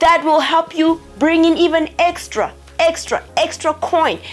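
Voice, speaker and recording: A woman speaks with a South African accent. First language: Tsonga. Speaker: YouTuber. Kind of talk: tutorial. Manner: animated.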